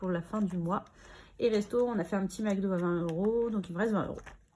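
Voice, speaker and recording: Somewhat breathy, a woman talks at medium pitch with ordinary pitch variation and a fairly quick pace. The recording is very clean, with a silent background. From Normandy, France. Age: 30s. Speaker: budgeting vlogger. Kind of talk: casual chat.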